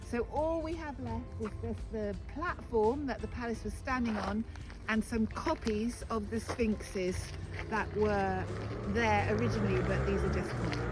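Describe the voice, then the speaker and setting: Over music in the background, a woman with a British accent speaks at a moderate pace. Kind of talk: tour guide talk. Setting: outdoors. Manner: passionate, spontaneous.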